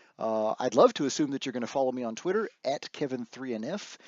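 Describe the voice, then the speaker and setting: A man's words come out very fast. The pitch is medium. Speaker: database trainer. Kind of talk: tutorial.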